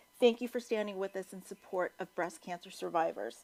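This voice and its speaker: A woman talks at a fairly quick pace with ordinary pitch variation. The sound is dry and close, with no echo. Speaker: charity staff member hosting fundraiser. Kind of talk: event hosting speech.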